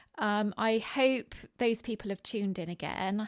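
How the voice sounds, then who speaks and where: A woman speaks at a moderate pace with a West Country accent and ordinary pitch variation. The recording is very clean and the background silent. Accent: West Country accent, rhotic. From England, Bristol (West Country). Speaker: podcast host. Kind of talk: solo podcast monologue. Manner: many filler words (um, like).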